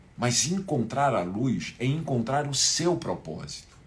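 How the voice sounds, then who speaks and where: A somewhat breathy man with very wide pitch swings, plus audible room echo. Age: 60s. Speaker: spiritual teacher. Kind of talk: live online class. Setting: livestream.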